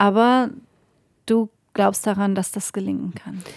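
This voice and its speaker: A woman with a plain, everyday voice speaks at a fairly slow pace with fairly even intonation, in a very clean recording with a silent background and a dry, close sound with no echo. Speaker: podcast host and politician. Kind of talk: interview. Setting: parliament building.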